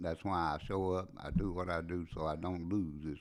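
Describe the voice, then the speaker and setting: On a very clean recording with a silent background, a man with an American accent speaks quietly at a moderate pace, his pitch very deep and low and his intonation fairly even. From US Appalachian coal country. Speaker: recovering addict, podcast guest. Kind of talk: testimony. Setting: at home. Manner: quiet, laid back.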